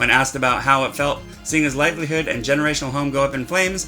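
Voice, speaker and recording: Music plays in the background. Over it, a man speaks with a fairly high pitch. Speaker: satirical news anchor. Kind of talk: mock news broadcast, tabloid satire.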